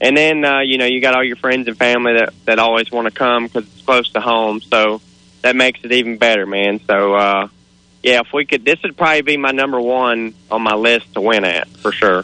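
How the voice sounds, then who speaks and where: Speaking at a fairly quick pace, a man has a plain, everyday voice at a medium pitch. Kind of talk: casual radio interview. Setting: outdoors at race track, phone. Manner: excited.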